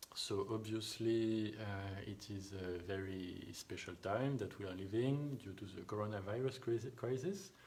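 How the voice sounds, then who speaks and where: Over noticeable background noise, a man speaks in a fairly low voice with fairly even intonation and hardly any pauses. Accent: strong French. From France. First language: French. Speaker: thereminist. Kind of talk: live online Q&A. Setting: home live stream. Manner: halting.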